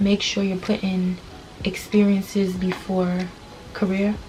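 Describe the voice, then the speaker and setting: The speaker is a woman talking at a moderate pace. Background noise is noticeable throughout. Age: 20s. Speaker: beauty vlogger. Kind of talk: casual chat. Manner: casual, conversational.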